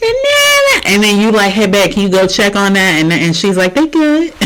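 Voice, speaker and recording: A woman speaks in an animated tone. Noticeable background noise runs underneath. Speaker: reaction video host. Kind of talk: casual reaction commentary. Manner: loud, animated.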